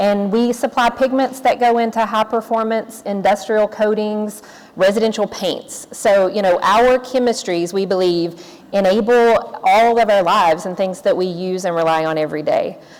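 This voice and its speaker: A woman with a Tennessee accent, fairly high in pitch, at a moderate pace. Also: ordinary pitch variation. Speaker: corporate sustainability executive, panelist. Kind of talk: panel discussion remarks.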